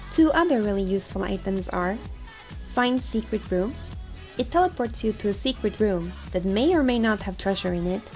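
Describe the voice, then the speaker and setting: A woman at a moderate pace with long, frequent pauses, music playing in the background. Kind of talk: game guide narration.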